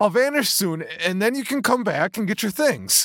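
On a very clean recording with a silent background, a man shouts in a strained, high-pitched put-on character voice, fairly bright in tone, with big pitch swings. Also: moderate pace.

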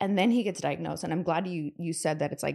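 A woman with an American accent speaks at a fairly low pitch with vocal fry. Her pitch variation is ordinary. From US Pacific Northwest, Seattle. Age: 30s. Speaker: entrepreneur and investor. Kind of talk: casual chat.

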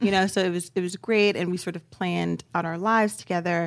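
With an American accent, a woman talks at a fairly quick pace in a normal speaking voice with fairly low pitch, on a very clean recording over a silent background. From US, Baltimore. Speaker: author. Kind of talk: casual chat.

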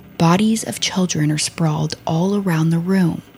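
Over noticeable background noise, a woman with a fairly low pitch speaks fairly slowly in a solemn tone with fairly even intonation. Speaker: true crime podcast host. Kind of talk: dramatic true-crime narration. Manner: grave, solemn, measured storytelling delivery.

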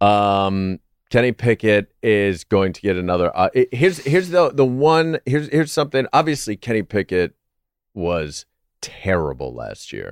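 A man at a moderate pace, fairly low-pitched with very wide pitch swings, in a very clean recording with a silent background. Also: dry, close sound with no echo. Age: 40s. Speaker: comedian and Steelers fan guest. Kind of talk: casual chat.

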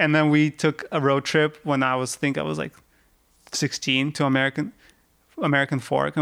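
A man with a Russian accent speaks at a fairly quick pace in a fairly high pitch, with ordinary pitch variation, on a very clean recording with a silent background. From Russia, Yekaterinburg. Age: 30s. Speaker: rock climber. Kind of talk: casual chat.

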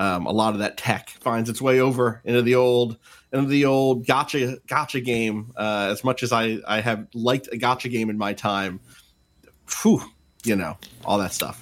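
In an ordinary speaking voice with an American accent, the speaker talks at a moderate pace with fairly even intonation on a very clean recording with a silent background. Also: man, medium pitch for a man. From New Jersey, Atlantic City. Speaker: games journalist. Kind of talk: casual chat.

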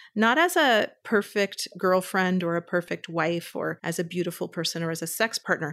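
A woman speaks at a moderate pace and medium pitch with a Californian accent. The recording is very clean, with a silent background. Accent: General American (Californian). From US West Coast, Berkeley California. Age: 50s. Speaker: therapist. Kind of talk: interview.

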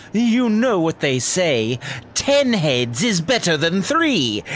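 A put-on character voice moves through very wide pitch swings at a very slow pace. Background noise is clearly heard. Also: man, high pitch for a man. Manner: snickering, sly.

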